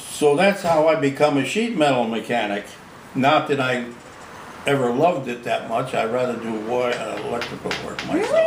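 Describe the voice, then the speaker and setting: A man with an American accent talks at a moderate pace and medium pitch, with ordinary pitch variation. Audible room echo and noticeable background noise surround him. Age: 80s+. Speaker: retired sheet metal worker. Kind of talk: casual chat. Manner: hesitant repetitions.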